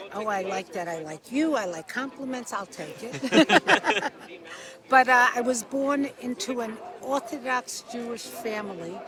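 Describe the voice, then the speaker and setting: Behind a woman's high voice there is noticeable background noise. She speaks at a fairly slow pace with lively intonation. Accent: American. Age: 60s. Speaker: interviewee. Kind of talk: street interview. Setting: outdoors.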